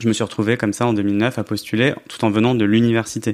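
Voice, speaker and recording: A man speaks at a fairly quick pace with a fairly low pitch. He has a normal speaking voice. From France, Grenoble. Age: 30s. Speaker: journalist and author. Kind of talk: podcast interview.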